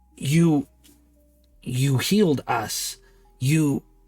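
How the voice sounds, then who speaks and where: Against faint music in the background, a man does a put-on character voice at a fairly high pitch. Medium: actual play. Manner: halting broken speech, stutters on name.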